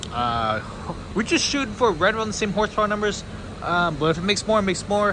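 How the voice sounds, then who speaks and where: A man talks at a very fast pace in a raised, projected voice with a high pitch and lively intonation. Noticeable background noise can be heard. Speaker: car YouTuber. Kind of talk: casual vlog. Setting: dyno room.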